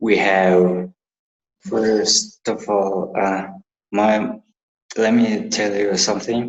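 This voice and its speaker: With a Mongolian accent, a man speaks at a very slow pace in a monotone, flat intonation, leaving long, frequent pauses. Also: fairly low pitch for a man. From Mongolia, Ulaanbaatar. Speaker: university student. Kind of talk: interview. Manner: halting.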